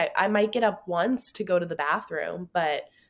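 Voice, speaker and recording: Woman with a plain, everyday voice, a moderate pace and ordinary pitch variation on a very clean, silent recording. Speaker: podcast host. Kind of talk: casual chat.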